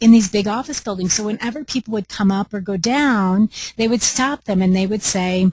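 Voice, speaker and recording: Somewhat breathy with a dark, mellow tone, the voice has ordinary pitch variation in a dry, close sound with no echo. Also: woman. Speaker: home staging business trainer. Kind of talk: webinar. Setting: conference call. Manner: animated.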